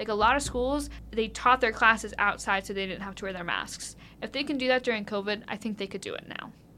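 In a Midwestern American accent, a woman speaks at a very fast pace with a fairly high pitch, a bright, sharp tone and ordinary pitch variation. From US Midwest (rural Ohio). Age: 20s. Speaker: undergraduate student researcher. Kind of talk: interview. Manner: animated.

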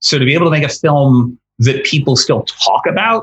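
Speaking slowly, at a fairly slow pace, a man with an American accent has a fairly high pitch and a somewhat breathy voice. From Connecticut, US. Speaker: screenwriter. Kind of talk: interview. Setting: remote interview from home.

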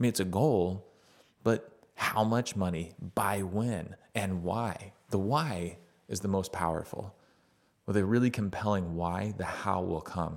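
In an unremarkable speaking voice, a man talks at a fairly slow pace. His pitch varies in an ordinary way. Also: fairly low pitch for a man. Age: 40s. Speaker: father interviewing his son, podcast host. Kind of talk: casual chat.

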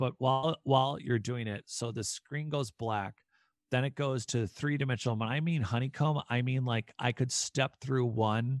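A man with an ordinary speaking voice at a medium pitch and a moderate pace, with ordinary pitch variation, a dry, close sound with no echo, and a quiet background. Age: 30s. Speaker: author. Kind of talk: interview.

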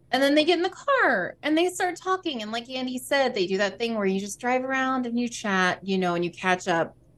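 A woman's high-pitched voice, very wide pitch swings, a fairly quick pace and hardly any pauses. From US South. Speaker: podcast co-host and streamer. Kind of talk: casual chat.

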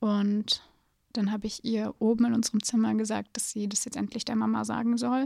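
With a dry, close sound and no echo, a woman talks at a moderate pace in a fairly high pitch. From Hesse, Germany (Gießen). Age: 20s. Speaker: film student. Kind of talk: testimony.

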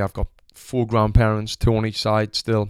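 A man with a Sunderland accent is heard in a dry, close sound with no echo. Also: very clean recording, silent background. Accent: Sunderland (Mackem). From northern England, Sunderland. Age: 20s. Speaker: podcast host, former boxer and gym owner. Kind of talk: casual monologue. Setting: home recording. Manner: animated.

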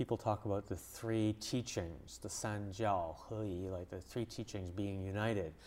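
This very clean recording with a silent background features a man with a Canadian accent. He has an ordinary speaking voice, fairly low pitch and fairly even intonation. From Canada, English-speaking Montreal. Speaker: journalist and author. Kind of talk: interview. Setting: studio.

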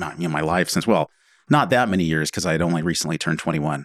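A man talks with an American accent. The sound is dry and close with no echo, in a very clean recording with a silent background. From US Pacific Northwest, Oregon (Willamette Valley). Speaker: wine bar owner. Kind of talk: interview. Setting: studio.

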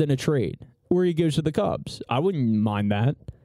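Speaking at a moderate pace with an American accent, a man has a dark, mellow tone and lively intonation. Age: 20s. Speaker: sports podcast co-host. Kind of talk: casual chat.

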